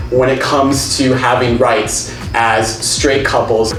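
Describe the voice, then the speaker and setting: Fairly slow delivery, with background noise clearly audible. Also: man. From California. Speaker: travel vlogger. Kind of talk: casual talk to camera. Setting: outdoors.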